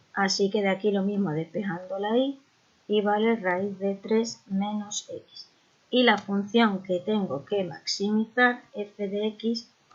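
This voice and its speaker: At a very slow pace, a woman speaks with fairly even intonation at a medium pitch. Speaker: maths teacher. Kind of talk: tutorial. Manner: breathless.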